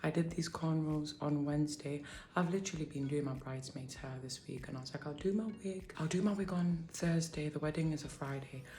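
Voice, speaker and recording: A woman with a British accent talks at a fairly quick pace in a very deep, low pitch, somewhat breathy and with fairly even intonation, over light background noise. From UK. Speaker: beauty vlogger. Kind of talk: tutorial. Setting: home kitchen at night. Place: kitchen. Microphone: phone near.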